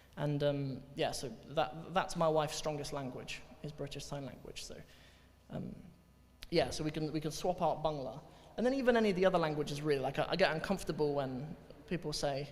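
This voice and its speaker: A man with a fairly high pitch moves at a fairly quick pace yet takes long, frequent pauses, sounding somewhat breathy. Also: ordinary pitch variation. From Cornwall, England. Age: 20s. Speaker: Arabic teacher, convert telling his story. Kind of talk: talk to audience, Q&A. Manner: hesitant, repeats words.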